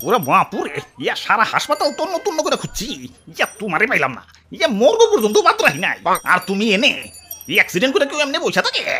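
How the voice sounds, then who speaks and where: In a put-on character voice pitched high, the speaker talks at a fairly quick pace. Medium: comedy sketch. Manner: exclamatory, fretful.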